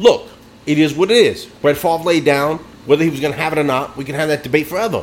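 With noticeable background noise behind him, a man talks in a fairly high voice and lively intonation. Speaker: sports podcast host. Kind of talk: casual sports banter.

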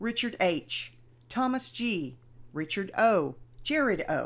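With a Texan accent, the voice moves at a very slow pace with vocal fry and very wide pitch swings on a very clean recording with a silent background. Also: woman. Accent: Texan American. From Texas. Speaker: podcast host. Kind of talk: solo informational podcast.

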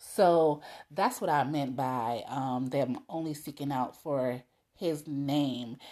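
A woman's very deep, low voice with a dark, mellow tone, at a very slow pace over a quiet background. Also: ordinary pitch variation. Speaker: podcast host. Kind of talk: solo monologue of personal reflections. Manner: conversational, encouraging.

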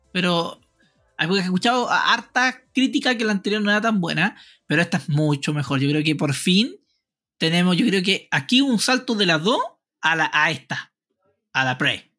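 In a raised, projected voice, a man with a Chilean accent speaks at a high pitch with very wide pitch swings, a bright, sharp tone and very even loudness on a very clean recording with a silent background. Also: moderate pace. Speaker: podcast host. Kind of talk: casual chat.

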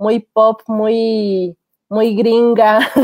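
A woman is talking. The sound is dry and close, with no echo. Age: 30s. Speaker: film podcast co-host. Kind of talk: casual chat.

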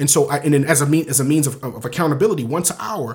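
A man with an American accent talks at a very fast pace. His fairly high voice is somewhat breathy. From US East Coast, inner-city Baltimore. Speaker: photographer and videographer, business owner. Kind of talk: casual interview. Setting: Facebook Live video podcast.

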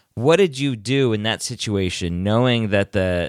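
A man with an American accent and an ordinary speaking voice, lively intonation, and a fairly slow pace. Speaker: podcast host. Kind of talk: scripted intro then casual interview.

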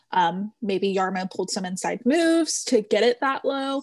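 A woman with a plain, everyday voice and medium pitch speaks at a fairly slow pace. The sound is dry and close with no echo, over a quiet background. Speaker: podcast co-host. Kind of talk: casual chat.

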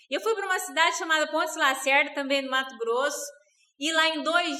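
Raised and projected, a woman's voice carrying a sharp, bright tone. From Rondônia, Brazil. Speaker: network marketing distributor. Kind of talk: interview.

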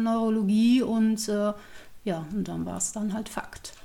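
Her fairly high voice sounds somewhat breathy as the woman speaks fairly slowly with fairly even intonation. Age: 40s. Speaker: former geriatric nurse living with multiple sclerosis. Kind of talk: personal testimony in an interview.

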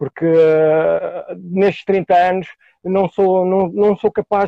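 The intonation holds fairly even. A man speaks with a high pitch. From Portugal, Lisbon area. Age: 40s. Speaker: graffiti artist, music producer and MC. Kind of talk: casual interview.

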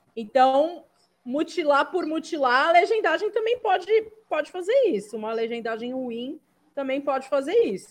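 Her pitch high, a woman talks with very wide pitch swings. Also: moderate pace. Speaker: content creator. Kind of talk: casual chat.

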